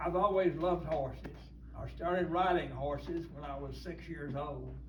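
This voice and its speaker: Here a man with an American accent speaks at a moderate pace. His loudness swings a lot, and room echo is audible. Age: 90s. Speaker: church elder. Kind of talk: talk to a church group. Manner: halting.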